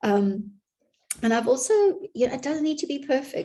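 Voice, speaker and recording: A woman speaks in a dark, mellow tone with vocal fry. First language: not English. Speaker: business consultant. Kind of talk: vlog monologue. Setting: home office.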